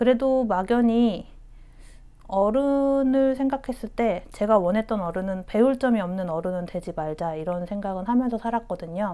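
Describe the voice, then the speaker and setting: A woman's fairly high voice with a dark, mellow tone, moderate pace and ordinary pitch variation. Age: 30s. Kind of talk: interview answer.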